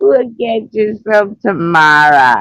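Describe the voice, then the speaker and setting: In a put-on character voice, a man speaks at a high pitch with lively intonation. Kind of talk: gruff, tough-guy.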